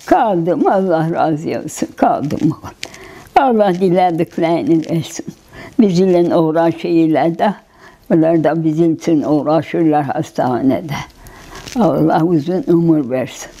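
The speech moves at a very slow pace. Pitch varies an ordinary amount. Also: woman, fairly low pitch for a woman. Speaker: recovered patient. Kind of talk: interview. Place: home room. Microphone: lapel.

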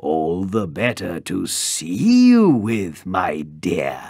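Growling in a put-on character voice, a man speaks at a very slow pace with a very deep, low pitch.

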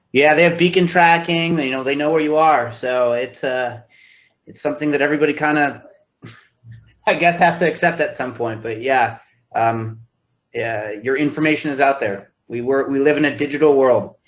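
In a room with audible echo, a man talks at a fairly high pitch with ordinary pitch variation. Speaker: marketing expert guest speaker. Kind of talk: online lecture Q&A. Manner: fast.

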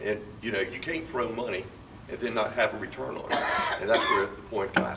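Speech moves along fairly briskly. Noticeable noise is present behind it. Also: man. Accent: American. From Virginia Beach, Virginia; Virginia. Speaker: mayor; candidate. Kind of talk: candidate forum speech. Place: hall.

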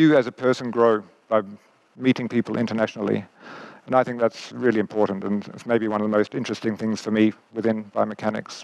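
A man with an Australian accent talks very fast in a fairly low pitch. His intonation is flat and monotone. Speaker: biomechanics professor. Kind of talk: lecture. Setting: stage with audience. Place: stage. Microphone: headset.

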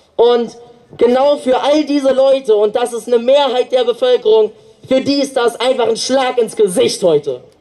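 A man speaks at a moderate pace with extremely high pitch and ordinary pitch variation, over noticeable background noise. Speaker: climate activist speaker and rally organizer. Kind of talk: protest rally speech. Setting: outdoors at demonstration.

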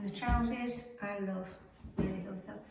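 There is audible room echo and noticeable background noise as a woman speaks. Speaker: fashion vlogger. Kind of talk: casual talk to camera. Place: home room. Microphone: camera far.

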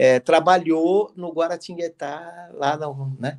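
The background is quiet. A man speaks in it at a fairly slow pace. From Brazil. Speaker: football club executive; guest. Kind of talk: interview. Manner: halting, many fillers. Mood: relaxed, conversational. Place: home room. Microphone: video call.

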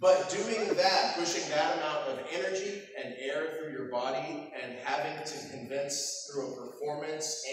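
Light background noise and strong room echo surround a man speaking with ordinary pitch variation. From Texas. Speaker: voice actor. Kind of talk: convention panel talk with audience. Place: hall. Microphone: camera far.

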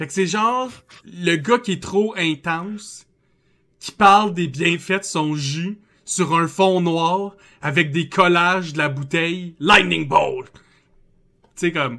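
A man with a high-pitched, bright and sharp voice talks very slowly, with long, frequent pauses and ordinary pitch variation. The background is quiet. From Quebec. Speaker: podcast host. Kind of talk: casual chat. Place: home room. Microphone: headset.

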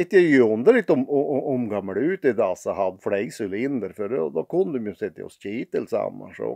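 A man with a Norrbotten accent speaks at a moderate pace. The sound is dry with no echo, and the background is quiet. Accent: Piteå dialect (pitemål). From Piteå, northern Sweden. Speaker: dialect storyteller. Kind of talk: humorous anecdote told in dialect. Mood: wry, humorous musing. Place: home room. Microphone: phone near.

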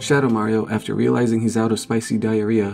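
Faint music plays in the background as a man with a fairly low pitch speaks at a very fast pace. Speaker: video narrator. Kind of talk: comedic narration.

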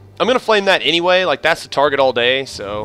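A man's speech proceeds at a moderate pace while music plays in the background. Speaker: gaming video creator. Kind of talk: gameplay commentary. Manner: subdued, low-energy delivery.

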